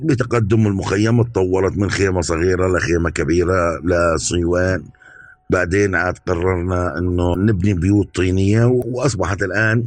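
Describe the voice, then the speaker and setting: A man with a very deep, low voice speaks at a fairly slow pace, his loudness very even and his pitch variation ordinary. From Syria, Palmyra (Homs province). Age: 40s. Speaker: nurse. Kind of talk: testimony.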